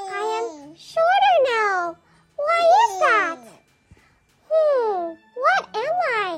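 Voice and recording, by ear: Doing a put-on character voice at an extremely high pitch, a woman speaks at a very slow pace with long, frequent pauses while music plays in the background.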